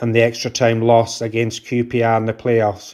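With a Scottish accent, a man speaks at a moderate pace in a medium pitch with a dark, mellow tone. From Scotland, near Glasgow. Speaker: football fan, army veteran. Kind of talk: personal story read aloud.

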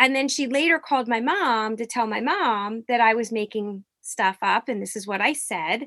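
Using a normal speaking voice with an American accent, a woman talks at a moderate pace and a fairly high pitch, with ordinary pitch variation, hardly any pauses, and a dry, close sound with no echo. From US Northeast, Norristown near Philadelphia. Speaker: professor. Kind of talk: interview.

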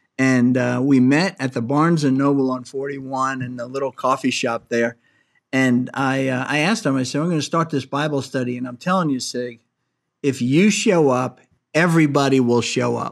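Very clean recording, silent background, and a normal speaking voice with ordinary pitch variation and a moderate pace. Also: man, medium pitch for a man. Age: 60s. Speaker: podcast host and angel investor. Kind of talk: interview.

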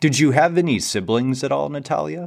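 Recorded very cleanly against a silent background, a man with an American accent speaks at a fairly quick pace. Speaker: podcast host. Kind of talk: interview, podcast host. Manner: upbeat, enthusiastic.

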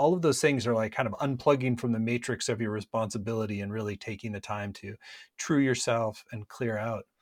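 A normal speaking voice in an American accent, fairly quick, with ordinary pitch variation and a dry, close sound with no echo, on a very clean recording, silent background. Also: man, medium pitch for a man. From US Midwest, Minnesota. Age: 50s. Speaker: spiritual entrepreneur and company founder. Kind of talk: interview conversation.

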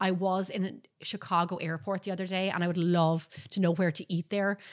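A woman's medium-pitched voice with an Irish accent, fairly even intonation and a fairly quick pace. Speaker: baking show host and professional baker. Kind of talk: live-streamed podcast chat. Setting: live video stream.

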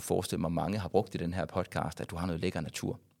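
Very fast, very deep, low-pitched speech from a man on a very clean recording with a silent background. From West Jutland, Denmark (Varde area). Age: 40s. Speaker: YouTuber and former radio host. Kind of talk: casual interview. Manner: halting, many fillers and repetitions.

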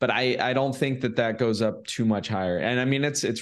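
A man with an American accent, an ordinary speaking voice, a fairly quick pace and a quiet background. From California. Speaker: short-term rental investor. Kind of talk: interview.

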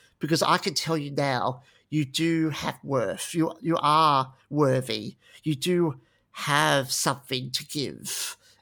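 On a very clean recording with a silent background, a man with an Australian accent speaks very slowly in a bright, sharp tone, fairly high in pitch and fairly even in intonation. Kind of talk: interview.

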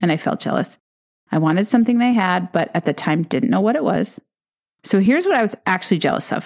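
Lively in intonation and animated in tone, a woman speaks at a medium pitch. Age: 50s. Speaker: business coach podcast host. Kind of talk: solo podcast monologue. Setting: coffee shop.

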